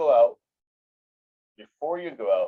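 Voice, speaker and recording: A man speaks with a dry, close sound that has no echo. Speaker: insurance agency owner. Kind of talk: interview. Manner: fast.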